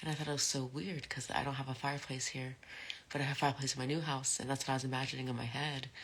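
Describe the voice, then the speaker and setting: Soft-spoken and mumbling, a woman rushes at a very fast pace in a very deep, low pitch with monotone, flat intonation. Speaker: live streamer. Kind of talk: casual chat.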